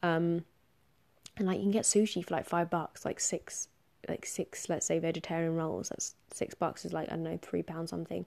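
This woman has a dark, mellow tone and a fairly low pitch. She speaks with a southern English accent. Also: fairly even intonation, moderate pace, quiet background. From southern England. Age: 20s. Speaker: podcast host. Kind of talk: solo monologue podcast. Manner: casual, filler-heavy.

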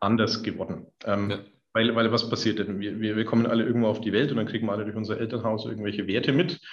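A man at a very fast pace in a Middle Franconian accent, fairly low in pitch with fairly even intonation. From Middle Franconia, Bavaria. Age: 40s. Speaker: company founder. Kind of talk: podcast interview.

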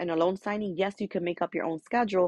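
A woman with a medium-pitched voice sounds animated against a quiet background, recorded dry and close with no echo. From New York, Dominican family. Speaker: podcast host. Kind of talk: motivational monologue.

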